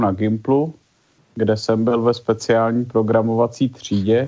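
A man speaks in a monotone, with flat intonation throughout. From Prague, Czechia. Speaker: journalist and chess official. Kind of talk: interview answers.

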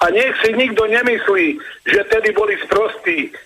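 Over noticeable background noise, a man uses a raised, projected voice at a high pitch. He goes at a fairly slow pace with lively intonation. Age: 60s. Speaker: caller. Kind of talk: phone-in. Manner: animated.

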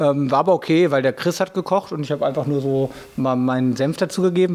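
A man with a fairly high voice talks very fast, his pitch rising and falling in an ordinary way. Noticeable background noise runs under the recording. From Sauerland, western Germany. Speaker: DJ and club promoter. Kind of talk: interview.

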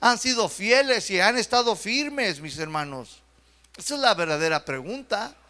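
Raised and projected, a man's bright, sharp voice carries at a moderate pace. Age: young. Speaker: pastor. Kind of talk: sermon. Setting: church.

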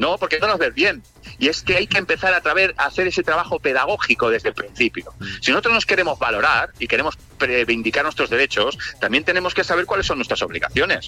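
A man at a very fast pace with very even loudness, in a dry, close sound with no echo. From Spain, Barcelona. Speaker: DJ and music producer. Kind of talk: interview. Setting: remote line.

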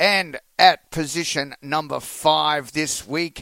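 This man speaks very slowly with an Australian accent. His tone is bright and sharp, on a very clean recording with a silent background. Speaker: country radio host. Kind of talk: radio hosting and interview.

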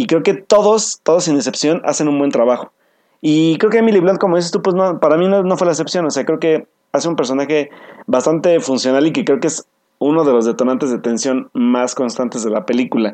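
Lively intonation from a man, his pace fairly quick. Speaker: podcast co-host. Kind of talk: casual chat.

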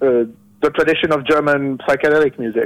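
The speaker is a man with a French accent. His pitch sits fairly high. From France. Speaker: musician. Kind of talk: interview. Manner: halting.

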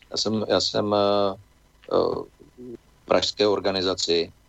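A man speaks at a very slow pace. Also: long, frequent pauses, very even loudness. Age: old. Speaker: politician, former diplomat and geologist. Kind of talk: radio interview.

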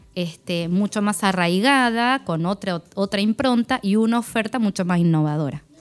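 At a moderate pace with hardly any pauses, a woman speaks at a medium pitch, with ordinary pitch variation and very even loudness. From Argentina, Buenos Aires province countryside near Tandil. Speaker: technical school administrator and teacher. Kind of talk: radio interview. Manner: halting, with frequent fillers and repetitions.

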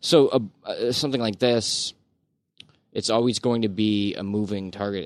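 With a Canadian accent, a normal speaking voice carries ordinary pitch variation. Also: man. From Ontario, Canada. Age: 30s. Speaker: podcast panelist. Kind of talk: casual chat.

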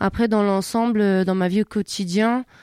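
In a very clean recording with a silent background, a woman speaks at a medium pitch and moderate pace, her dark, mellow voice dry and close with no echo and her intonation monotone and flat. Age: 20s. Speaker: wheelchair basketball player. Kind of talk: interview. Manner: halting.

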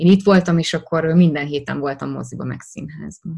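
This woman has a very deep, low pitch. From Hungary, Szeged. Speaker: actress. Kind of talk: interview.

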